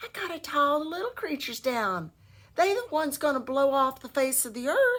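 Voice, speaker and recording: A woman puts on a character voice with a high pitch. She speaks at a fairly quick pace. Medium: read story. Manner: sly, folksy.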